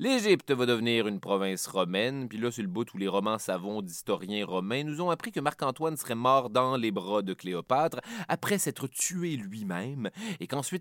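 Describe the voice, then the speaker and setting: A man with a Quebec accent, very wide pitch swings and a moderate pace. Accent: Québécois French. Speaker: history podcast host. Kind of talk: scripted narration.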